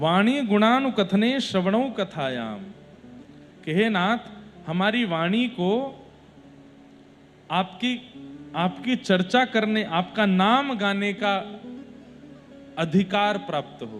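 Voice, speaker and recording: This man has a high-pitched voice, ordinary pitch variation and long, frequent pauses. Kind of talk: religious discourse (katha) delivered to an audience.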